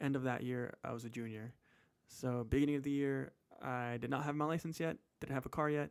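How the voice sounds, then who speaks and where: A man with a Californian accent speaks in fairly even intonation. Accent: General American, Californian. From US West Coast, San Francisco Bay Area. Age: 20s. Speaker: personal finance vlogger. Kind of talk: casual chat. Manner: casual, halting with fillers.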